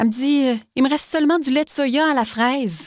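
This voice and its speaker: On a very clean recording with a silent background, a woman speaks with a Quebec accent. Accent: Québécois French. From Quebec, Canada. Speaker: voice actor. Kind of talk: TV commercial read. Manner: casual, exasperated, conversational.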